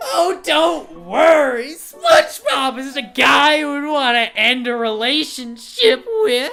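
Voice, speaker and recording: A loud, shrill, female-sounding put-on character voice with a high pitch speaks at a fairly slow pace over faint music in the background. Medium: game stream.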